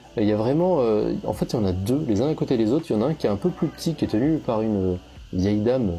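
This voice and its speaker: A man rattles along at a very fast pace, using lively intonation at a medium pitch. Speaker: travel photographer vlogger. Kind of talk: travel vlog narration. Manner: casual with many hesitations.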